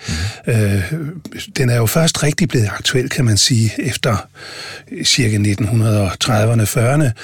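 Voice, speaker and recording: There is noticeable background noise behind this man. He speaks very slowly at a medium pitch with ordinary pitch variation. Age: 60s. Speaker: senior hospital physician. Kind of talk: interview. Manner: hesitant with many fillers.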